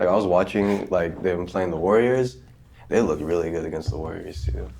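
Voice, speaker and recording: In a Californian accent, a man with a very deep, low pitch and a dark, mellow tone talks at a fairly quick pace with lively intonation and vocal fry, and the room echo is audible. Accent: Californian American English. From Southern California. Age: 20s. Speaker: podcast co-host. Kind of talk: casual chat.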